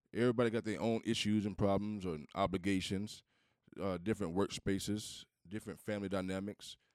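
An ordinary speaking voice, a man with an American accent talks fairly quickly at a fairly low pitch with fairly even intonation, dry and close with no echo on a very clean recording with a silent background. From US Southeast. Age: middle-aged. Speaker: podcast co-host. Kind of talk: casual chat.

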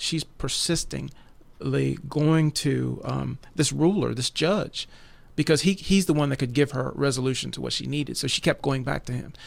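The recording is very clean with a silent background, and the man on it talks at a moderate pace. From West Virginia. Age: 40s. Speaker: prayer ministry leader. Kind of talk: religious discussion podcast. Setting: recorded broadcast.

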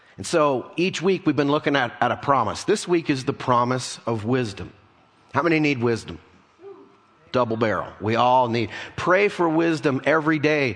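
A man at a fairly high pitch and moderate pace, with lively intonation over noticeable background noise. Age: 50s. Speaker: pastor. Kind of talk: sermon.

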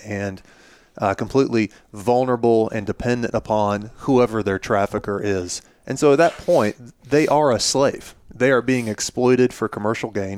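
A man's plain, everyday voice with an American accent, medium pitch, ordinary pitch variation and a moderate pace, in a dry, close sound with no echo. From US South, Florida (near Pensacola). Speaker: pastor. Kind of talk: casual chat.

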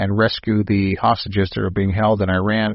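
With an unremarkable speaking voice, a man of fairly low pitch talks at a moderate pace. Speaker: radio host. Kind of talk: radio host patter with ad read and show intro. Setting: studio. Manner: polished, upbeat announcer delivery.

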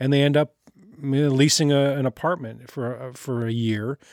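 On a very clean recording with a silent background and a dry, close sound with no echo, a man with an ordinary speaking voice speaks at a moderate pace and medium pitch with fairly even intonation. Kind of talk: interview. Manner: humorous, chatty.

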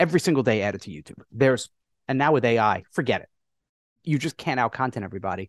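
A man speaks at medium pitch with lively intonation. The background is quiet, and the sound is dry and close with no echo. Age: 50s. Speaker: internet marketer and entrepreneur. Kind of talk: casual chat. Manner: animated.

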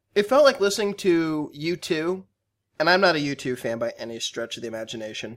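Lively intonation and a fairly quick pace from an ordinary speaking voice. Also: man. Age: 20s. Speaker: music podcast co-host. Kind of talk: casual chat.

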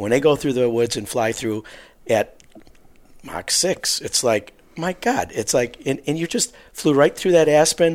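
A man with a Wisconsin accent, a fairly high pitch, lively intonation and a fairly slow pace. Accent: Upper Midwest (Wisconsin). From southeast Wisconsin, Waukesha area. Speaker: hunting mentor. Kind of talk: casual interview.

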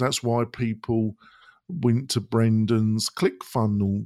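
On a very clean recording with a silent background, a man with an English accent speaks at a very slow pace, the sound dry and close with no echo. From Britain. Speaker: web design and e-learning business owner. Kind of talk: podcast interview. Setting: studio.

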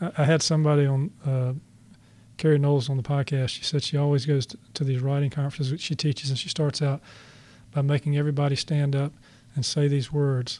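Over a very clean recording with a silent background, a somewhat breathy man speaks at a fairly quick pace with a fairly high pitch and monotone, flat intonation. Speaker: podcast host and author. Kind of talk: interview conversation. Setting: studio. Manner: laid back.

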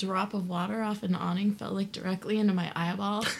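Fairly quick, somewhat breathy speech from a woman. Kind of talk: casual chat. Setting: studio.

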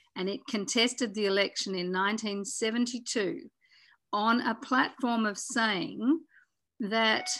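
A woman's fairly high, bright, sharp voice in an Australian accent, with lively intonation at a fairly slow pace, on a very clean recording with a silent background. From Tasmania, Australia. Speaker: former politician and conservationist. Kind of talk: interview.

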